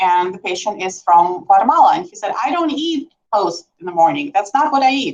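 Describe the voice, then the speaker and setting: With a non-native accent, a woman talks at a fairly quick pace, her pitch swinging very widely. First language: not English. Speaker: nurse practitioner. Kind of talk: medical presentation. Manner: conversational, many fillers.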